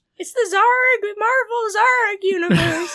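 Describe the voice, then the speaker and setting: This is a put-on character voice, squeaky and strained at an extremely high pitch. It moves at a fairly slow pace. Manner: silly, exaggerated, stressing the word zarg.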